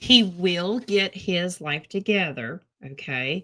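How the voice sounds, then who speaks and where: A woman speaks at a fairly low pitch with an American accent. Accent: thick Southern US accent, esp. in the morning. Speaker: tarot reader. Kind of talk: casual chat with tarot readings.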